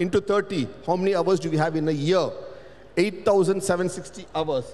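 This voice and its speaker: A man talks with a Tamil accent over noticeable background noise. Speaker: panelist, cultural researcher. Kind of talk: panel discussion. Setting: stage with audience.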